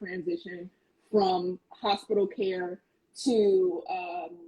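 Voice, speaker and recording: In a somewhat breathy voice, a woman talks with an American accent. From US West Coast, Oakland. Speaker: content creator and educator. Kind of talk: casual chat. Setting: livestream video call.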